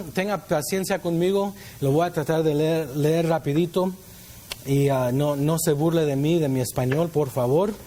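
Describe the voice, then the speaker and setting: A man's ordinary speaking voice, fairly high in pitch, at a fairly slow pace with ordinary pitch variation. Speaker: youth pastor. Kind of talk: sermon.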